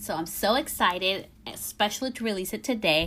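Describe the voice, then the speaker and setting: A woman with an American accent talks at medium pitch, her bright, sharp tone carrying lively intonation and vocal fry. The recording is very clean, with a silent background. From California. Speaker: hairstylist and educator. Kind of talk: casual podcast talk.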